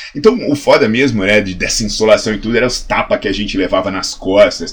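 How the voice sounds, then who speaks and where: Noticeable background noise runs under a man speaking at a very fast pace. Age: 40s. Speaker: health science professor and fitness educator. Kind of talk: educational video monologue. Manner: animated.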